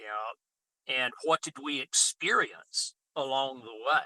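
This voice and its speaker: Recorded with a dry, close sound and no echo, a man speaks at a fairly slow pace. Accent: Deep South. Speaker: farmer and regenerative agriculture speaker. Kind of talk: interview. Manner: halting, repeats words.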